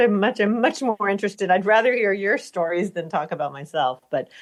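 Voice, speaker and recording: Intonation is lively throughout. The speech comes with an American accent. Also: woman. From US, Latvian-American family. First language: Latvian. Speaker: film and TV composer. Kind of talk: podcast interview.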